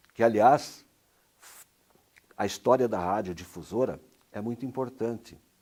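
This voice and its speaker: This voice has a dark, mellow tone and moves at a fairly slow pace. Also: man. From Brazil, Paraná. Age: 60s. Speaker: retired radio announcer. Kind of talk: interview answer.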